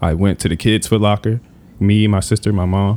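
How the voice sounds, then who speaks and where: A man with an American accent talks in a dark, mellow tone. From US Mid-Atlantic, Prince George's County, Maryland. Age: 20s. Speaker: sneaker collector. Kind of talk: casual chat.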